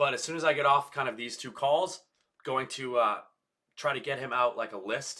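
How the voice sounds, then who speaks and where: This man's voice has a bright, sharp tone. His pitch sits in the medium range. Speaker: real estate agent and daily vlogger. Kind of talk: casual daily vlog monologue. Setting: live stream. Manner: frequent filler words uh and um.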